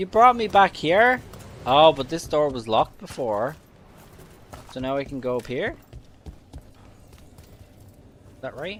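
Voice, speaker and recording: With a Dublin accent, a man talks at a very slow pace with long, frequent pauses and big swings in loudness. His pitch is fairly high and swings very widely. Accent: Dublin Irish. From Ireland, Dublin (Tallaght). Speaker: video game streamer. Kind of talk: casual livestream gameplay commentary. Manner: animated.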